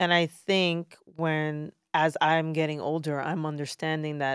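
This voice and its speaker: A woman with a New York accent, fairly low in pitch, speaking at a fairly slow pace with a dry, close sound and no echo. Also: very clean recording, silent background. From Brooklyn, New York. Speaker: fitness trainer. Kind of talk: casual chat.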